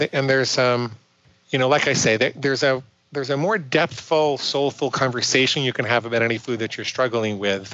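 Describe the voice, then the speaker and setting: With an American accent, a man speaks at a moderate pace and medium pitch with ordinary pitch variation. It is an unremarkable speaking voice. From New York. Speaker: psychologist and binge eating coach. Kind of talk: podcast interview.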